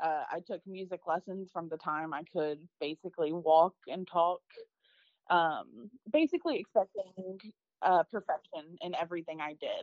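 At a moderate pace, a woman with an American accent speaks in a normal speaking voice, fairly low in pitch with ordinary pitch variation. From US South, Arkansas. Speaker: microbiologist. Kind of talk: interview testimony.

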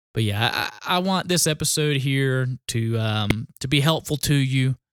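A man with a Southern US accent, medium in pitch with ordinary pitch variation, in dry, close sound with no echo. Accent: Southern US, noticeable country. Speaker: union shop steward. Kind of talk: tutorial. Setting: pre-recorded episode.

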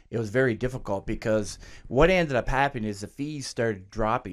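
A man with a Canadian accent speaks at a fairly quick pace, in a plain, everyday voice. Pitch variation is ordinary, and the recording is very clean with a silent background. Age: 60s. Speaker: clothing store owner. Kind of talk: interview.

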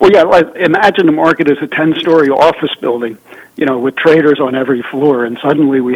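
Over noticeable background noise, a man speaks at a very fast pace in a fairly high pitch with ordinary pitch variation. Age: 70s. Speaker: journalist and author. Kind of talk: interview on politics and economy.

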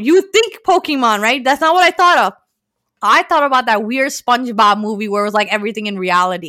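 Raised and projected, a woman's bright, sharp voice moves at a fairly quick pace with very wide pitch swings. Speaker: podcast host. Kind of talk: casual chat.

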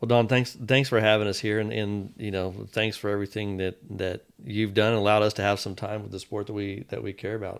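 In a very clean recording with a silent background, a man with a fairly low pitch speaks at a fairly quick pace in a monotone, flat intonation, with hardly any pauses. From Texas, Fort Worth. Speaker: hospital executive. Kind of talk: casual interview chat.

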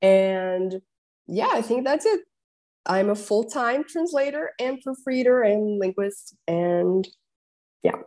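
A woman with a Portuguese accent speaks very slowly, with long, frequent pauses, lively intonation, a fairly high pitch and a dark, mellow tone. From Brazil. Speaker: translator and linguist, fellowship recipient. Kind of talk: casual interview conversation.

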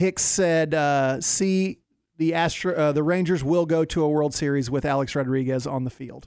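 This man has an unremarkable speaking voice, fairly high in pitch. He talks at a moderate pace with fairly even intonation. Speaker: sports radio contributor. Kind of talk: casual chat. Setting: studio.

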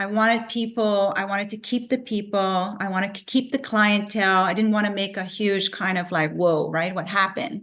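A woman talks in an ordinary speaking voice at medium pitch with fairly even intonation. Her pace is moderate with hardly any pauses. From Canada, Vancouver. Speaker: natural medicine practitioner and business owner. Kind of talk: interview.

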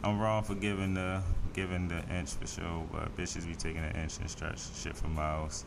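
Over noticeable background noise, a man speaks at a moderate pace with a very deep, low voice and fairly even intonation. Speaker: podcast host. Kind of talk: casual banter.

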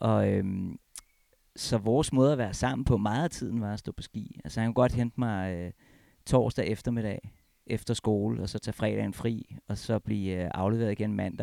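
This man speaks at a fairly low pitch and a moderate pace, with ordinary pitch variation and a dark, mellow tone. The sound is dry and close, with no echo. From Copenhagen, Denmark. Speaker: former pro freeskier, ski federation staffer. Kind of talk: casual interview. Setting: at home.

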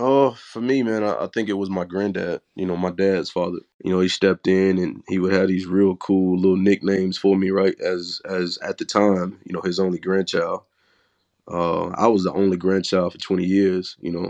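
Over a quiet background, a man with a Southern US accent speaks at a moderate pace in a very deep, low pitch with monotone, flat intonation. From Mississippi, US South. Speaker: guest, father. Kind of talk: casual chat.

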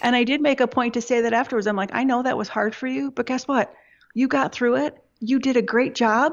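A woman's high-pitched voice with fairly even intonation, in an Upper Midwest accent. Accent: Upper Midwest American. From Michigan, US. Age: 40s. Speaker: web agency owner. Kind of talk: interview.

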